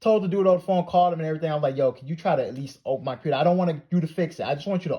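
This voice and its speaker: A man's high-pitched, dark and mellow voice at a very fast pace over a quiet background. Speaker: art YouTuber. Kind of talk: casual storytime monologue.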